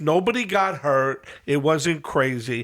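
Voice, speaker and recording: With a New York accent, a man speaks at a fairly high pitch that swings very widely. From New York City, Queens (Whitestone). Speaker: podcast host. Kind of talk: casual chat.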